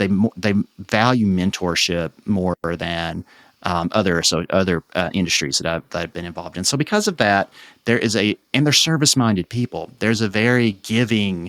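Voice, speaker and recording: With an American accent, a man talks at a moderate pace in a fairly low pitch, using ordinary pitch variation, and the sound is dry and close with no echo. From Eastern Kentucky. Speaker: economic development association president. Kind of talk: interview conversation. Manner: halting, with repetitions and fillers.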